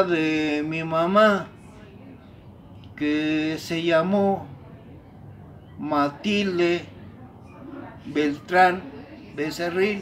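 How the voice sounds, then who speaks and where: A man's high-pitched voice at a very slow pace, with ordinary pitch variation and audible room echo. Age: 70s. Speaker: elder telling family history. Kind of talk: oral history interview. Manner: halting.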